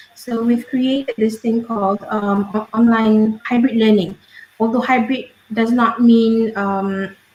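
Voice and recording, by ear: Someone is reading aloud in a natural voice. The intonation stays fairly even.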